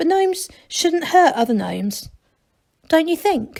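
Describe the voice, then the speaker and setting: In a put-on character voice, a woman squeaks at an extremely high pitch while keeping a moderate pace. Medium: read story. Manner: patient, calm.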